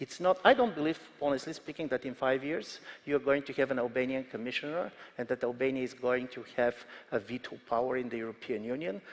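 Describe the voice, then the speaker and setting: This man talks at a very fast pace in a Bulgarian accent. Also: medium pitch for a man, ordinary pitch variation. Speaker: political analyst. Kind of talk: panel discussion.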